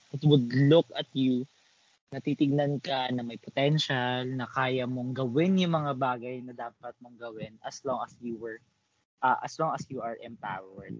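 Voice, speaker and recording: Using an ordinary speaking voice at medium pitch, a man talks fairly slowly with ordinary pitch variation and big swings in loudness. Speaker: podcast co-host. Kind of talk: casual chat.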